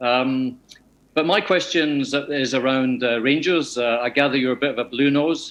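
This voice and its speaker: A man with a slight Scottish accent speaks at a moderate pace. His pitch is medium, and his intonation is fairly even. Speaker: fan club member. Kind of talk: question from audience. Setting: video call.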